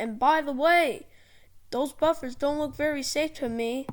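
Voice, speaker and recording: Someone puts on a high-pitched character voice and speaks at a moderate pace. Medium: read story.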